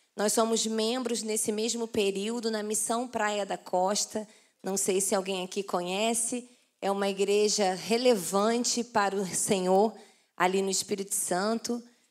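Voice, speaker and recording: On a very clean recording with a silent background, a woman with a Carioca accent speaks at a fairly slow pace in a monotone, flat way at a medium pitch. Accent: carioca (Rio) Portuguese. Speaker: pastor. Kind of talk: sermon. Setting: church conference with audience.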